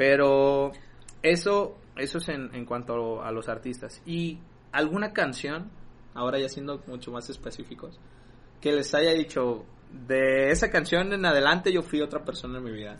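A man with a normal speaking voice and a fairly high pitch talks at a fairly slow pace, with ordinary pitch variation. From Mexico, rural Jalisco. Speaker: podcast co-host. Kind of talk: casual chat.

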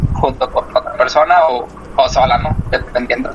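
A man talks with a Mexican accent over noticeable background noise. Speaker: podcast co-host, physician. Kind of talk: casual chat.

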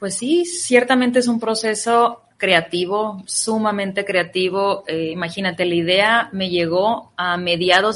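A woman's medium-pitched, fairly slow delivery in a normal speaking voice, with ordinary pitch variation. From Ciudad Obregón, Sonora, Mexico. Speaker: psychologist and author. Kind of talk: radio interview.

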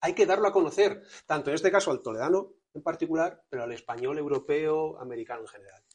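Speaking very fast with lively intonation and big swings in loudness, a man talks at a fairly high pitch. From Spain, Toledo. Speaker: historian and mystery tour guide. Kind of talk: interview. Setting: on location in a museum.

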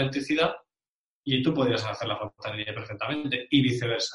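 Speaking in an unremarkable speaking voice, a man keeps a fairly quick pace and fairly even intonation. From Spain, Bilbao (Basque Country). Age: 40s. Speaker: referral marketing specialist. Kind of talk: interview.

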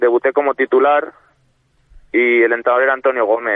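The speaker is a man. He delivers his words with monotone, flat intonation. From Spain, Ávila. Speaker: professional footballer. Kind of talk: radio phone interview.

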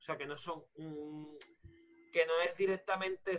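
This man has a high-pitched voice. He speaks at a fairly slow pace. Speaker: cleaner. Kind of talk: casual chat. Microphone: mic problems, audio over phone.

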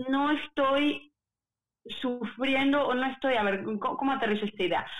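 With a Mexican accent, a woman speaks at a high pitch. Her pitch varies in an ordinary way. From Puebla, Mexico. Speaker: opera singer. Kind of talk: casual interview.

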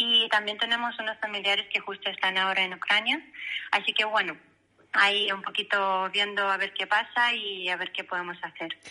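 In a normal speaking voice, a woman talks at a moderate pace with fairly even intonation and medium pitch. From Belarus. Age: 30s. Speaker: interview guest. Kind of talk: casual interview.

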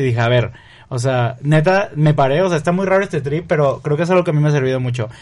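A man talks very fast in a somewhat breathy voice. His pitch varies in an ordinary way. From Mexico, Río Verde, San Luis Potosí. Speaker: content creator and photographer. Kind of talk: casual interview.

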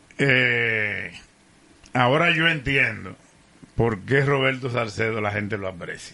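Noticeable background noise sits behind a man with a medium pitch and ordinary pitch variation. He speaks at a very slow pace, with long, frequent pauses. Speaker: radio commentator. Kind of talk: casual chat.

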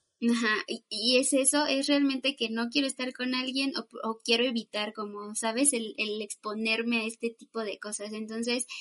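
A plain, everyday voice from a woman, fairly high-pitched, at a moderate pace with hardly any pauses, fairly even intonation, and a dry, close sound with no echo. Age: 20s. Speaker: psychologist. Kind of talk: casual chat.

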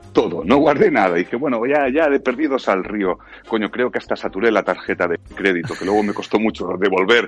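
With music in the background, a man with a fairly low pitch talks with lively intonation and hardly any pauses. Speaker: voice actor. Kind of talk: casual chat.

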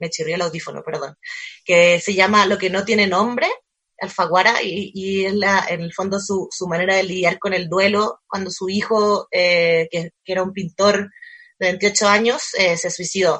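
The tone is bright and sharp, the intonation fairly even, and the pace fairly slow. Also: woman, medium pitch for a woman. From Chile. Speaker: cultural manager, book fair organizer. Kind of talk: casual interview chat. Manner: halting, many fillers and repetitions.

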